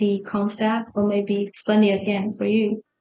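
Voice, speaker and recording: A woman talks in a fairly high pitch. Her pace is fairly slow. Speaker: university lecturer. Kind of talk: lecture.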